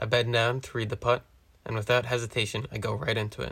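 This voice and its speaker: In a very clean recording with a silent background, a man speaks at a medium pitch with vocal fry. His delivery is monotone and flat, at a fairly quick pace. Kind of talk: first-person golf play-by-play narration. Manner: relaxed, casual, conversational; calm, measured running commentary.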